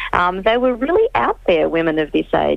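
Amid noticeable background noise, a woman with an Australian accent talks at a moderate pace. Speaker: historian. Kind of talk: interview, expert explanation. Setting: phone call.

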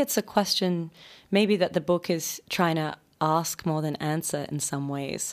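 Moderate pace from a woman, in an Australian accent. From Australia, Sydney. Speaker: novelist. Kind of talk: radio interview. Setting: radio studio.

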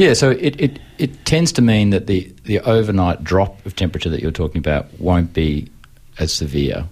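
A man with an Australian accent speaks at a very deep, low pitch. His somewhat breathy voice has very wide pitch swings. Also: moderate pace. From Melbourne, Australia. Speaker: urban agriculture researcher and lecturer. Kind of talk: radio interview. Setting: radio studio.

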